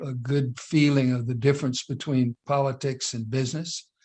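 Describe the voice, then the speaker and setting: A man talks at a fairly slow pace. His medium-pitched delivery is monotone, with flat intonation. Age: 80s+. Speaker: entrepreneur and business leader. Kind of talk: interview. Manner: halting, many fillers.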